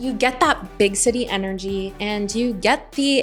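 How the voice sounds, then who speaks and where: A woman with an American accent speaks at a moderate pace with lively intonation. Music plays in the background. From United States. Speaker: expat vlogger. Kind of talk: casual talk to camera.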